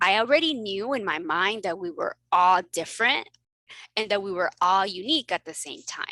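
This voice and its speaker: A woman with a medium-pitched, bright and sharp voice speaks in an animated tone at a moderate pace, her pitch swinging very widely and her loudness rising and falling sharply, in a dry, close recording with no echo that is very clean against a silent background. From Mexico, then South Texas. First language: Spanish. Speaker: family physician and coach. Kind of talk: casual interview chat.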